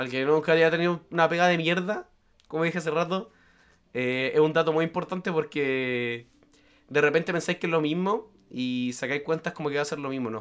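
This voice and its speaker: A man speaks at a fairly quick pace with a Chilean accent. His pitch is fairly high, with ordinary pitch variation. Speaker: podcast host. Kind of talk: casual chat.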